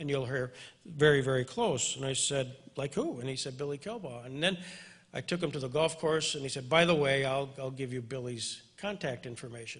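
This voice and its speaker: A plain, everyday voice from a man, fairly high in pitch, with ordinary pitch variation and a fairly quick pace. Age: 60s. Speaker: interviewer, attorney. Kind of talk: event introduction to audience.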